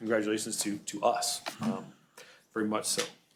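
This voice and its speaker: There is audible echo in the room. A man is speaking. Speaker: public works superintendent. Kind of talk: public presentation. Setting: city council meeting. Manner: fast.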